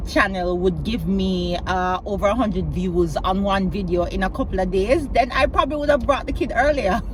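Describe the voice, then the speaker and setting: A woman talks at a fairly quick pace with hardly any pauses. Noticeable background noise and audible room echo fill the recording. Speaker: vlogger, learning and development professional. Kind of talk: casual vlog monologue. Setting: in a car. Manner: slightly clunky.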